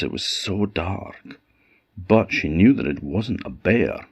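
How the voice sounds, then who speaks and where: Vocal fry runs through this man's voice, heard in an Orcadian accent. He speaks at a very slow pace with lively intonation. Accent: Orcadian Scottish. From Orkney, Scotland. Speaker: storyteller. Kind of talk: folk tale storytelling.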